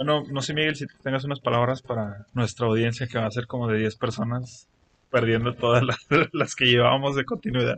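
A man speaks with a Mexican accent at a medium pitch. His intonation stays fairly even, and his pace is fairly quick. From Mexico. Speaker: podcast co-host. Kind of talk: casual chat. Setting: improvised home studio.

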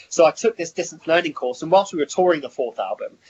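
This man has a southern English accent and a fairly high pitch, with ordinary variation in it. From Hertfordshire, England. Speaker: rock musician. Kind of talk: interview. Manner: hesitant, many fillers.

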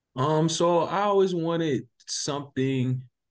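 A man speaks in a South Carolina accent against a quiet background. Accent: US Southern (South Carolina). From South Carolina (Sumter). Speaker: basketball tournament organizer. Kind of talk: interview. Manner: halting, many fillers.

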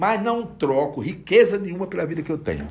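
A man talks at a fairly quick pace. Vocal fry runs through his voice. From Brazilian Northeast. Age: 60s. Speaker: bookseller. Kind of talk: casual interview.

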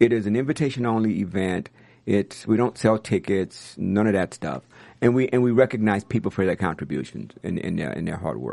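Over a quiet background, a man with an American accent speaks at a fairly quick pace with a fairly low pitch, vocal fry and ordinary pitch variation. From US South, New Orleans. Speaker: music industry executive. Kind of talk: interview. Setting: studio.

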